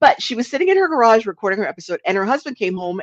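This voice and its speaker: A woman with an American accent speaks at a very fast pace with lively intonation. The sound is dry and close with no echo, and the background is quiet. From US Northeast, New Jersey. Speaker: podcast coach and trainer. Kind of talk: live webinar tutorial. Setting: live stream. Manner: casual, conversational.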